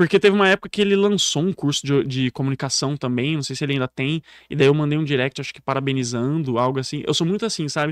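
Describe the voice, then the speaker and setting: Fairly high in pitch, a man speaks at a very fast pace. The sound is dry and close with no echo, on a very clean recording with a silent background. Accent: rural São Paulo. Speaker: public speaking coach. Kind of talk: podcast interview. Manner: animated.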